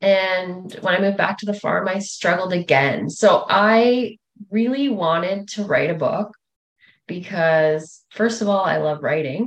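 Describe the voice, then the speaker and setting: Fairly slow speech in a Canadian Prairie accent. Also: woman, medium pitch for a woman, ordinary pitch variation. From rural Manitoba, Canada. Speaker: author. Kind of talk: interview.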